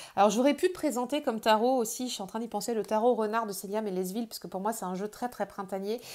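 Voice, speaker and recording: The background is silent on this very clean recording. A woman talks at a medium pitch, her pitch varying in an ordinary way. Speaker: tarot youtuber. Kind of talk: casual product presentation. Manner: hesitant, many repeated words.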